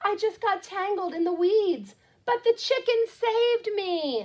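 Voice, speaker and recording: Squeaky and fairly slow, this is a put-on character voice. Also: woman, extremely high pitch for a woman. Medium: read story. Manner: eager, wide-eyed.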